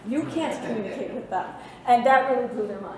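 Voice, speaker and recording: A woman talks at a fairly quick pace in a high pitch with ordinary pitch variation. Audible room echo and noticeable background noise are present. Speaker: college instructor. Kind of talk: short presentation. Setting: faculty presentation with audience. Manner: fast.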